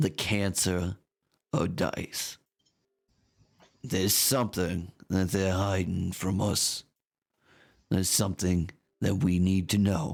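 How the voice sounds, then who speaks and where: Using a put-on character voice, a man speaks at a fairly slow pace with a very deep, low, raspy voice, fairly even intonation, and long, frequent pauses. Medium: actual play. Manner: grave, measured, intense.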